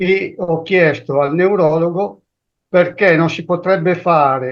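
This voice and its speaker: Very slowly, a man speaks in a high pitch. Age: 70s. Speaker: caller with Parkinson's. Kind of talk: question from audience.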